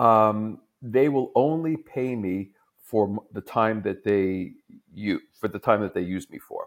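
Someone with a New York accent speaks at a fairly slow pace with ordinary pitch variation, on a very clean recording with a silent background. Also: man. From US, New York. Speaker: tech executive, fractional CTO. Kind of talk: interview conversation.

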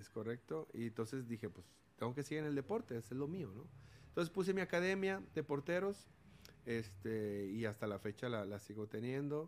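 Very wide pitch swings in a man's medium-pitched voice, at a moderate tempo. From Mexico, Sinaloa (Los Mochis), raised from 14 in Monterrey. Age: 40s. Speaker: former professional footballer and sports academy owner. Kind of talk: testimony-style interview.

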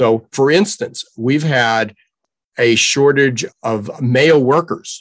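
A man talks at a medium pitch. His pace is very slow, with ordinary pitch variation. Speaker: workforce trends commentator. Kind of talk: interview.

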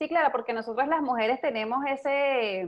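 Ordinary pitch variation from a woman at a moderate pace. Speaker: podcast host. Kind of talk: interview. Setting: at home. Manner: animated.

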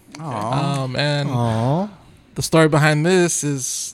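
A man's fairly high-pitched voice with fairly even intonation, over noticeable background noise. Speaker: hospital worker and podcast host. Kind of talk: casual banter podcast chat.

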